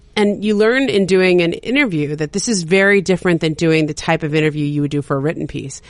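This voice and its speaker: Speaking with an American accent, a woman moves at a fairly quick pace with lively intonation. Her pitch is fairly low, and the background is quiet. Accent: Valley Girl, New York pace. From Southern California (San Fernando Valley). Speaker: sports journalist. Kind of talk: casual chat. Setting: studio. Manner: fast.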